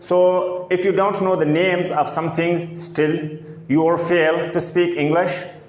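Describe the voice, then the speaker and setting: A man with a non-native accent talks at a fairly slow pace in a high voice. Noticeable background noise and audible room echo surround him. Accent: non-native English speaker. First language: not English. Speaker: English teacher. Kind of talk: tutorial.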